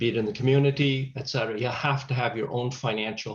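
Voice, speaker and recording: A man uses a normal speaking voice, pitched in the middle, with fairly even intonation. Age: 60s. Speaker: chaplain and grief counselor. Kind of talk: webinar Q&A discussion.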